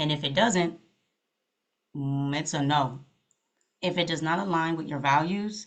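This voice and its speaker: A woman with an American accent, fairly low in pitch, with ordinary pitch variation. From New York, until age twelve. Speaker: therapist and podcast host. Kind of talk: casual advice talk. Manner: animated, lots of mm-hmms.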